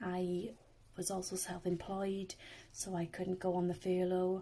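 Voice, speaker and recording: The pace is fairly slow. A dark, mellow tone marks the voice. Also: woman. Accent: Welsh. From South Wales. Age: 20s. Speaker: swimming instructor. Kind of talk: personal testimony.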